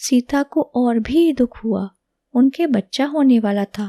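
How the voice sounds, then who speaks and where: Soft-spoken and high in pitch, a woman with a dark, mellow tone and ordinary pitch variation is heard against a quiet background in a dry, close sound with no echo. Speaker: language teacher. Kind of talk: reading aloud.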